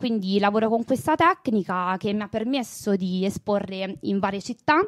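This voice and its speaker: The woman's voice has lively intonation at a moderate pace, recorded dry and close with no echo. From Italy, Terni (Umbria). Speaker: artist and art history teacher. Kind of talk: interview. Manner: hesitant, with fillers.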